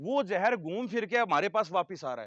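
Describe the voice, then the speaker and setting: Against a quiet background, a man speaks in an animated tone, with dry, close sound and no echo. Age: 30s. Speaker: animal feed company representative. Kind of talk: sales pitch to farmers.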